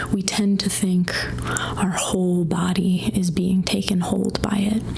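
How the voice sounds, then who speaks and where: A soft-spoken voice over noticeable background noise. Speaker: mental health counselor. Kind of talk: ASMR guided anxiety exercise.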